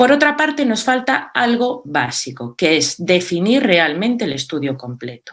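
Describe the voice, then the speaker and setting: A woman speaks at a fairly slow pace with a Galician accent and hardly any pauses. Her medium pitch makes very wide swings. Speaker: cardiology speaker. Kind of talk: conference presentation. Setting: virtual meeting.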